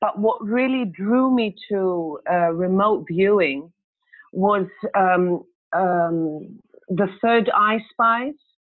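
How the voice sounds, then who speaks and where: A woman talks at a medium pitch and a very slow pace. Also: ordinary pitch variation, very even loudness. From Greece. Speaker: course participant. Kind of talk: self-introduction in online class. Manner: hesitant, many fillers.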